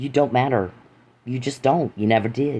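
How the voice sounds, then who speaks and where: Over a quiet background, the voice has a dark, mellow tone and moves at a fairly quick pace. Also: man. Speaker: podcaster. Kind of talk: angry monologue. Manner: fast; loud.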